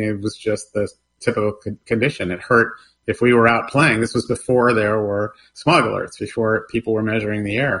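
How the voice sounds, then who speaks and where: In an American accent, a man speaks at a moderate pace and medium pitch with fairly even intonation and a bright, sharp tone. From Los Angeles, California. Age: 60s. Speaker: environmental nonprofit founder. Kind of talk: radio interview.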